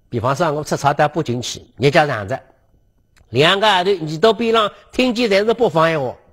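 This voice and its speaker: The tone is animated, with very wide pitch swings. The pace is moderate and the background quiet. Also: man, fairly high pitch for a man. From Suzhou, China; China. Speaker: lecturer on local history. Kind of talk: lecture. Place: studio. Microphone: lapel.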